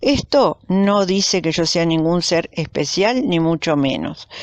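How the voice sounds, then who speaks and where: A woman's fairly low voice in a dry, close recording with no echo. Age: 60s. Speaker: YouTuber sharing spiritual experiences. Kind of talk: personal testimony monologue. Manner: hesitant, with fillers.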